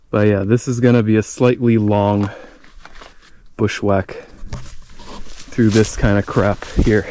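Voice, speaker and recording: Over noticeable background noise, a man speaks very slowly at fairly low pitch, monotone and flat, with very even loudness and long, frequent pauses. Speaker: hiking vlogger. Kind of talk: vlog narration while hiking. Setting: outdoors in the woods.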